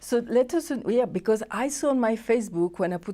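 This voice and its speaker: A woman speaks in a fairly high pitch with very wide pitch swings and a dark, mellow tone. The recording is very clean, with a silent background. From France. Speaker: TV host. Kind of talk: interview.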